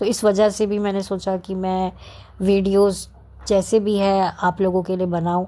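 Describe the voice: In a dark, mellow tone, a woman speaks at a medium pitch and a fairly slow pace, her pitch moving very little.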